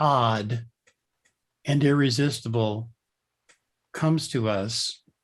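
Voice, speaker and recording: Somewhat breathy, a man talks at a very slow pace. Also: long, frequent pauses. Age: 70s. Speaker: author and leadership consultant. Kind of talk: interview conversation. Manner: reflective, thoughtful.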